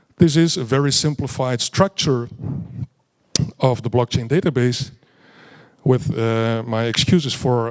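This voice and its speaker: A man has a plain, everyday voice at a medium pitch, with ordinary pitch variation and a moderate pace. The sound is dry and close, with no echo. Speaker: blockchain educator, conference speaker. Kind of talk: conference presentation.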